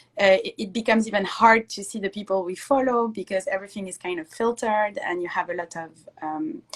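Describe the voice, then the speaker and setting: A woman talks very fast with a French accent. Her loudness swings widely. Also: medium pitch for a woman, ordinary pitch variation. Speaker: Instagram live interviewer. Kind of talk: interview. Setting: Instagram live video call.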